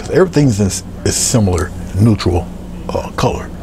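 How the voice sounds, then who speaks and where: Against noticeable background noise, a man with a fairly low pitch speaks with very wide pitch swings. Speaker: painter and art tutorial presenter; presenter. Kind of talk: tutorial. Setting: video recording of painting demonstration. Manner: soft-spoken; halting, with frequent filler words.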